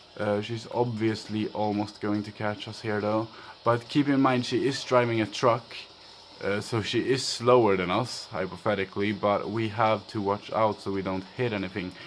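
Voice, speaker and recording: Man with a Swedish accent, fairly low pitch, fairly even intonation, at a moderate pace. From Sweden. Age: young. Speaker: gaming youtuber. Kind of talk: let's play commentary. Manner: casual, hesitant with fillers.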